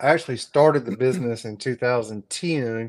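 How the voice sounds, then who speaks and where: Speaking at a fairly slow pace in a Southern US accent, a man uses medium pitch with ordinary pitch variation. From South Carolina, North Augusta. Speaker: HVAC business owner and YouTuber. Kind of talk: casual chat. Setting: live stream.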